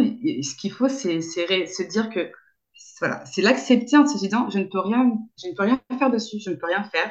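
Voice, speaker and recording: The woman's voice has a somewhat breathy sound. Her intonation is lively. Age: 30s. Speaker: sex therapist. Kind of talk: interview. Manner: halting, many fillers and repetitions.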